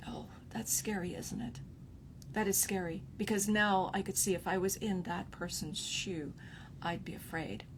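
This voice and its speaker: A woman speaks at a medium pitch and a moderate pace with ordinary pitch variation and vocal fry, and the room echo is audible. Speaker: relationship coach. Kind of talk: live stream talk. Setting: livestream. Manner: softening tone; halting with fillers.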